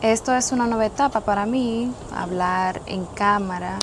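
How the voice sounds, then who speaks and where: The speaker keeps a moderate pace and fairly even intonation while noticeable background noise plays behind. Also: woman. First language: Spanish. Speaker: boat owner co-presenter. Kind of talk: casual video introduction. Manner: halting.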